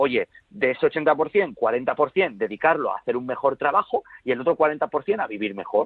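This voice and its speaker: Moving at a fairly slow pace, a man with a fairly high pitch makes very wide pitch swings. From Spain. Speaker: productivity author and consultant. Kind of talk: interview.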